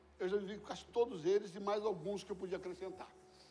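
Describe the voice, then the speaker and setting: A man talks in a high voice, and audible room echo trails his words. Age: 60s. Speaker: pastor. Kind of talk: sermon. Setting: church. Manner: animated.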